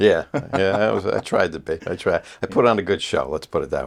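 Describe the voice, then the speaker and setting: A man speaks at a very fast pace with a New York accent. His pitch sits fairly low. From US Northeast, Port Chester, Westchester, New York. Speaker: facial plastic surgeon. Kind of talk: casual chat.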